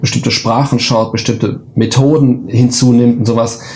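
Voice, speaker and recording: Noticeable background noise sits behind speech that stays monotone and flat. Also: man. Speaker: professor. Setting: video call.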